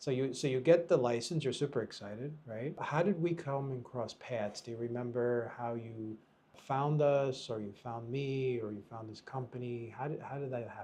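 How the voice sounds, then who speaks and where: Speaking in an American accent, a man has a medium pitch with ordinary variation. Noticeable background noise runs underneath. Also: moderate pace. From United States. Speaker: podcast host and real estate broker. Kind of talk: podcast interview.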